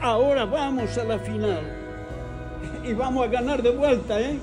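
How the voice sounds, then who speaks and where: Clear music plays in the background as the speaker talks at a fairly slow pace. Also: man. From Spain. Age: 80s+. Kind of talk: casual talk while watching football at home. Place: home room. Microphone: phone near.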